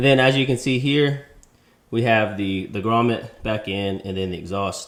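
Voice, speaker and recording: Fairly even intonation runs through a man's medium-pitched speech. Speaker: motorcycle YouTuber. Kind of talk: DIY tutorial; casual vlog. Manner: hesitant with fillers; loud.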